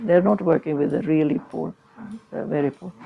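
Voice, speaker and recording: A woman's fairly low-pitched voice against noticeable background noise. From Sweden. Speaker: charity founder. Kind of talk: interview.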